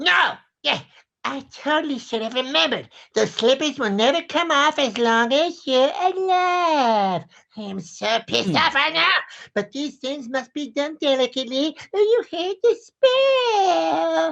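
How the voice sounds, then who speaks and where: A man adopts a put-on character voice, pitched extremely high and paced fairly slowly. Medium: stage play. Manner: taunting, theatrical.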